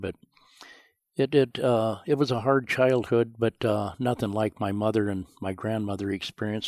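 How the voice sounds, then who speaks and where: A man with a western US accent speaks at a moderate pace in a fairly low voice, with fairly even intonation. The recording is very clean, with a silent background and a dry, close sound with no echo. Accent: rural western US. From Montana, rural. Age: 70s. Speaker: rancher. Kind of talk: interview storytelling.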